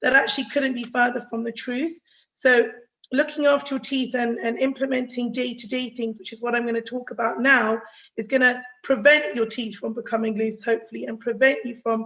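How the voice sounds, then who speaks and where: A woman with a high, bright, sharp voice speaks at a fairly quick pace. Her loudness swings widely while her intonation stays fairly even. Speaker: dentist giving a health talk. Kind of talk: online health talk. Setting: video call. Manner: fast.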